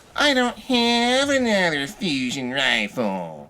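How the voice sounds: This put-on character voice is whiny, with a whiny tone at a middle pitch. It moves at a fairly slow pace.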